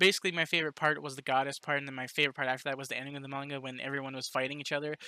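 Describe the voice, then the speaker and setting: This man's bright, sharp voice sits fairly high and races at a very fast pace, with fairly even intonation and a dry, close sound that has no echo. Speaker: book reviewer. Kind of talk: casual review monologue. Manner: halting, many repeated words and fillers.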